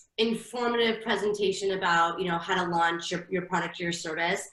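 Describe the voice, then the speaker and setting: At a fairly quick pace, a woman speaks with medium pitch amid audible room echo and noticeable background noise. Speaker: marketing consultant. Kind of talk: webinar presentation. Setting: online webinar.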